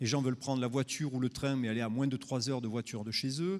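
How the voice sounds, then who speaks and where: A man with a southern French accent at a medium pitch, on a very clean recording with a silent background. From southern France. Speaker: tourism marketing speaker. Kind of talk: conference talk. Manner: hesitant, many fillers.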